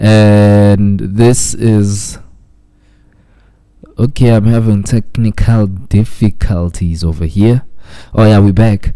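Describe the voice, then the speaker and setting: Very slowly and with long, frequent pauses, a man speaks in a fairly low pitch and a dark, mellow tone, his intonation fairly even and his loudness very even. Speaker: radio host. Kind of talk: traffic report.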